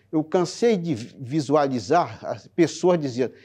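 This man's voice has a dark, mellow tone. Behind him, the background is quiet. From Brazil, Ceará (Sobral, rural sertão); Ceará, Brazil. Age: 60s. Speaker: court employee. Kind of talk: testimony. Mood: reflective, earnest. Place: studio. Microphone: lapel.

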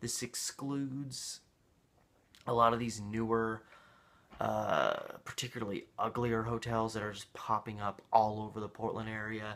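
This man talks at a moderate pace with fairly even intonation. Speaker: local history vlogger. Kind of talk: casual vlog chat. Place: home room. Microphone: webcam.

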